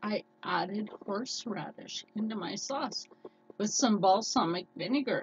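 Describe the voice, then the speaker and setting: With noticeable background noise, a woman speaks in an animated tone at a fairly slow pace, her pitch varying in an ordinary way. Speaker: cooking vlogger. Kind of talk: casual chat.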